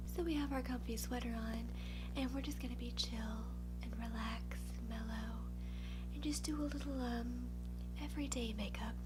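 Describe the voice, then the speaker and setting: A soft-spoken woman with an American accent talks at a very deep, low pitch. Music plays in the background. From Louisiana, USA. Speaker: beauty YouTuber. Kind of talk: ASMR get-ready-with-me makeup unboxing. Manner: quiet, mellow, low-key, softly spoken; self-deprecating, humorous.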